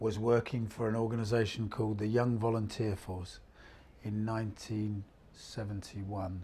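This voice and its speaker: A man speaks at a fairly low pitch, somewhat breathy, with ordinary pitch variation. His tone is dark and mellow. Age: 60s. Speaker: freelance voluntary sector worker. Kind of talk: interview testimony. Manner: halting, many fillers.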